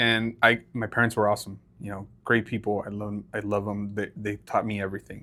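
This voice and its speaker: Speaking fairly quickly with a Spanish accent, a man keeps a bright, sharp tone and monotone, flat intonation. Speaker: podcast co-host. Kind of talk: casual chat.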